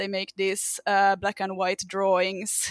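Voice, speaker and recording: A bright, sharp tone comes through in this voice with a Finnish accent. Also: woman, dry, close sound with no echo. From Finland. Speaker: fan podcast guest. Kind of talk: casual chat. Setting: remote group call.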